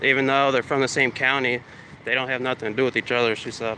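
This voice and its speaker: A man with an American accent and a monotone, flat intonation. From upstate New York, Troy. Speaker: first amendment auditor. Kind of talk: casual vlog narration while filming.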